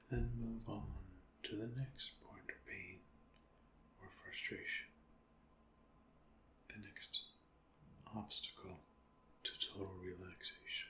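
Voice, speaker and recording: A calm, soft-spoken voice moves at a very slow pace with long, frequent pauses. Background noise is noticeable. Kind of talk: ASMR guided meditation. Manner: soft-spoken, calm.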